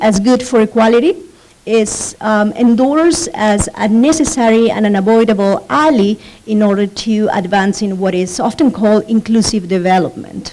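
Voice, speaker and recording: Speaking with a Spanish accent, a woman keeps a fairly high pitch, very even loudness and a moderate pace. Noticeable background noise is present. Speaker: professor. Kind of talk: conference presentation. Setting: conference panel. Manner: reading from notes, frequent fillers.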